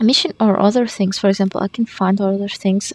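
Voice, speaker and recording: A quiet, whispering woman, with a dry, close sound with no echo and noticeable background noise. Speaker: gamer. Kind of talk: gameplay tutorial commentary. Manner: quiet, almost whispering.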